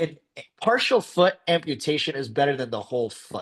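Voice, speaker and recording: Lively intonation marks a man speaking at a fairly quick pace. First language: not English. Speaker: podiatrist lecturer. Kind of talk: lecture. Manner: casual, filler-heavy.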